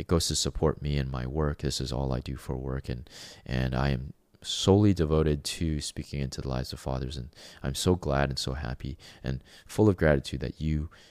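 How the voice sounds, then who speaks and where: Recorded very cleanly against a silent background with a dry, close sound and no echo, a man with a Canadian accent and a very deep, low pitch talks at a moderate pace with fairly even intonation. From Canada. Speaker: podcast host, fatherhood coach. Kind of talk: solo monologue podcast. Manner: halting, many fillers.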